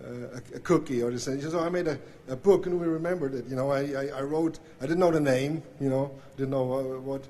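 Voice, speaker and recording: At a moderate pace and a fairly high pitch, a man speaks with fairly even intonation over noticeable background noise. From Switzerland. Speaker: banjo player. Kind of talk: acceptance speech. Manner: halting, many fillers.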